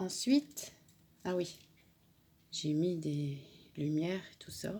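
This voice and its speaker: A somewhat breathy woman's voice, fairly low in pitch, with a dark, mellow tone, lively intonation, big swings in loudness and a very slow pace. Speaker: crafting YouTuber. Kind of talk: tutorial.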